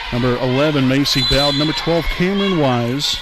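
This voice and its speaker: Amid noticeable background noise and audible room echo, a man talks at a fairly quick pace in a fairly high voice. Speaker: sports commentator. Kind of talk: live commentary. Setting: school gymnasium.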